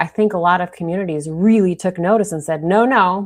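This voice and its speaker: Her voice is medium in pitch, with ordinary pitch variation. The woman talks at a moderate pace with a Minnesotan accent. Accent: Minnesota. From Minnesota, US (St. Louis Park). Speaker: fill-in news show host. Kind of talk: online news show discussion.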